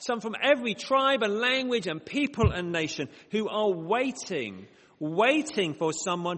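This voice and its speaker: A man speaks at a very slow pace with a northern English accent, his pitch swinging very widely. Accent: northern English, short vowels. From northern England, Bradford. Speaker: mission organisation director, preacher. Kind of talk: prayer; sermon. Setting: church with congregation, microphone.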